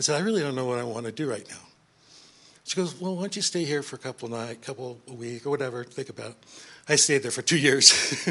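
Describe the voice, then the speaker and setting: Talking at a very fast pace with an American accent, a man has a bright, sharp tone at medium pitch, ordinary pitch variation and big swings in loudness. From California. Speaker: grandson of the deceased. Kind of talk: eulogy.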